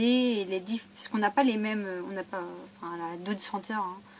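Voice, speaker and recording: A woman speaks at a moderate pace and medium pitch with fairly even intonation. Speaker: shopping haul vlogger. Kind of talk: casual vlog haul.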